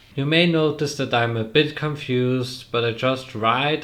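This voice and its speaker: A man speaks with a non-native accent at a very slow pace. His pitch rises and falls in an ordinary way. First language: not English. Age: young. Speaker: trainee. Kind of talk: casual talk to camera.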